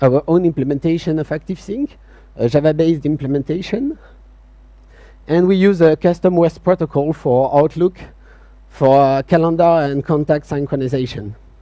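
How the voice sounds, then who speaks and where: In a French accent, a man with a dark, mellow tone and a fairly high pitch talks at a moderate pace with ordinary pitch variation, the sound dry and close with no echo. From France. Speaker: software company CTO, conference speaker. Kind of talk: conference talk. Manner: hesitant, many fillers.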